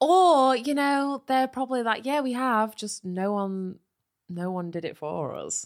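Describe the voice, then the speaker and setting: A woman speaks at a high pitch with very wide pitch swings. The recording is very clean, with a silent background. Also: fairly slow pace. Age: 20s. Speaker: comedy podcast host. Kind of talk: casual comedy banter with role play.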